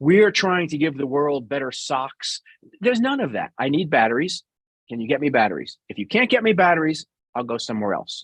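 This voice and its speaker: With a slight New York accent, a man speaks in an animated tone at a fairly quick pace. His fairly high voice swings very widely in pitch, and the sound is dry and close with no echo. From New York City. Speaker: business executive, guest speaker. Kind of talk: interview.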